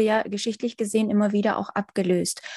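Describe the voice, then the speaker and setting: A woman's somewhat breathy voice, medium in pitch with ordinary variation and a dark, mellow tone, at a moderate pace, with a dry, close sound and no echo. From Ukraine. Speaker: podcast host. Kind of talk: interview.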